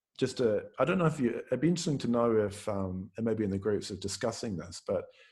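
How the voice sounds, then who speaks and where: Somewhat breathy and fairly low in pitch, a man speaks with lively intonation over a quiet background. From New Zealand. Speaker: Buddhist teacher. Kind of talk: dharma talk. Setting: video call. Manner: hesitant, many fillers.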